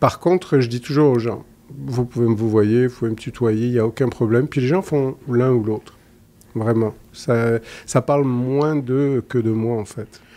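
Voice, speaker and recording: Speaking at a fairly slow pace, a man with a southern French accent has a medium-pitched voice. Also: fairly even intonation. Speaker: psychologist; guest. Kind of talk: interview conversation. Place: studio. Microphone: studio mic.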